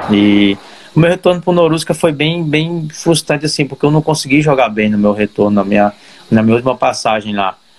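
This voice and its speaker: With lively intonation and very even loudness, a man talks at a fairly quick pace and a fairly high pitch. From Brazil, Ceará. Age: 30s. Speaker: professional footballer. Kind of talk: interview. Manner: halting.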